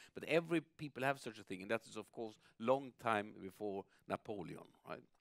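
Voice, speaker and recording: A man with a southern Swedish accent and a medium-pitched voice speaks at a moderate pace with ordinary pitch variation and big swings in loudness, in a dry, close sound with no echo. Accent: Swedish accent, southern dialect audible. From southern Sweden. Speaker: writer and public intellectual, interviewer. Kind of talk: onstage interview. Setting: stage with audience. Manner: halting, stammering.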